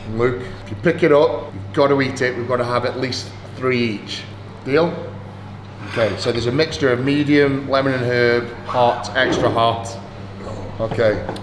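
A man speaks with ordinary pitch variation and long, frequent pauses. Noticeable background noise can be heard. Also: moderate pace. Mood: playful, teasing. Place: cafe.

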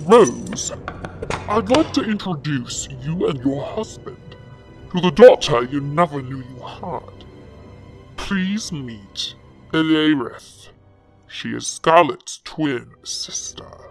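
A put-on character voice at middle pitch, very slow, with long, frequent pauses and faint music in the background. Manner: mocking, gloating, sly.

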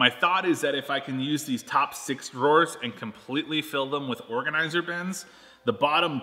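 The pace is moderate as this man talks. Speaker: video host. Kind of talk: casual vlog chat. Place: garage.

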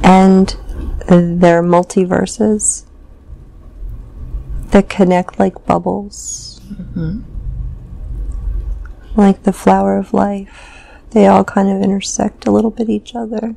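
A woman speaks very slowly, with long, frequent pauses. The sound is dry, with no echo. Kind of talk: trance narration, slow and halting. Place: home room. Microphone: lapel.

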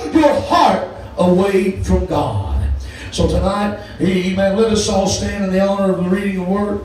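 Male speech at a moderate pace, with strong room echo and light background noise. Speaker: preacher. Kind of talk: sermon. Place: church. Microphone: camera far.

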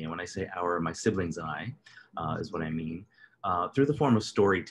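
A man talks with ordinary pitch variation. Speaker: speaker introducing his father. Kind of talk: introduction. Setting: video call. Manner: halting. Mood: warm, grateful. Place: home room. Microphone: video call.

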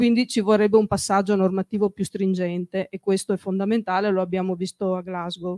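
Medium-pitched and dark, mellow in tone, a woman speaks in a monotone, flat way. She moves at a fairly quick pace with hardly any pauses. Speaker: local councillor. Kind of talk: public statement. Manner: halting.

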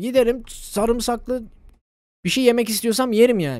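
The background is quiet throughout. A man talks at a moderate pace. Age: 20s. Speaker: gaming streamer. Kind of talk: casual live stream commentary. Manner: animated. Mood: joking, swearing, animated. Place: home room. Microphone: studio mic.

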